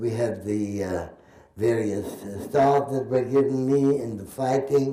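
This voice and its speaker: A man talks at a very slow pace with a medium pitch and ordinary pitch variation. Audible room echo surrounds his voice. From Germany, Berlin. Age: 80s+. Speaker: Holocaust survivor and war veteran. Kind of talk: testimony. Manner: halting.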